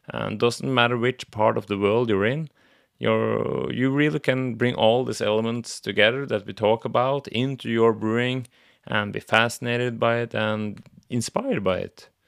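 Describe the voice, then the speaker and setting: A man at a medium pitch and moderate pace with a Norwegian accent, on a very clean recording with a silent background. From Norway. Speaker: podcast host. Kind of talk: solo podcast monologue. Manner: halting.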